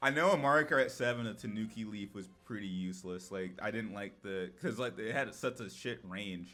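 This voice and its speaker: A man's fairly low-pitched voice, bright and sharp in tone, with lively intonation, a moderate pace and hardly any pauses, on a very clean recording with a silent background. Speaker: gaming YouTuber. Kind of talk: casual chat.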